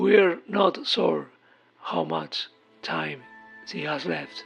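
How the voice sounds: A woman's put-on character voice, fairly low in pitch with a slightly husky edge and vocal fry, at a very slow pace with ordinary pitch variation over faint music in the background.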